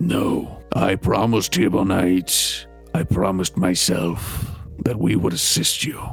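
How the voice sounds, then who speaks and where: A raspy, put-on character voice speaks at a fairly slow pace. Clear music plays in the background. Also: man, very deep, low pitch for a man. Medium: actual play. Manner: solemn, formal, measured.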